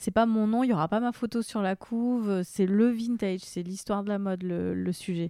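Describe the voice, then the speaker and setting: A woman speaks at a medium pitch with ordinary pitch variation and a dark, mellow tone. The sound is dry and close with no echo, in a very clean recording with a silent background. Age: 30s. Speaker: actress and content creator. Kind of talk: casual chat.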